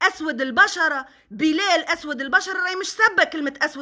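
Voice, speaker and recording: In an extremely high pitch, a woman speaks at a moderate pace in a raised, projected voice with a bright, sharp tone. Her delivery is animated, with lively intonation, over a quiet background. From Tunisia. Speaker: social media personality; social media commentator. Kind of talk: live stream monologue. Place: home room. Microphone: phone near.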